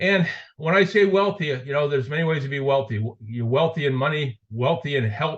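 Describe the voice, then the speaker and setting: Speaking at a moderate pace with an American accent, a man with an ordinary speaking voice sits at a fairly high pitch and uses lively intonation. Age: 60s. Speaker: network marketing affiliate. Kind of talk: sales pitch.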